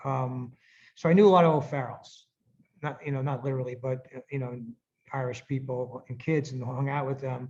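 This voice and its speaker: A man's fairly high, somewhat breathy voice at a fairly quick pace, with fairly even intonation. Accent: American. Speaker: author. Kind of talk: interview answer.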